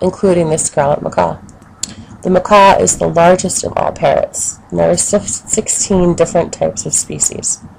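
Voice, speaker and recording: A woman's moderate-paced speech is accompanied by noticeable background noise. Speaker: education student. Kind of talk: educational narration for children.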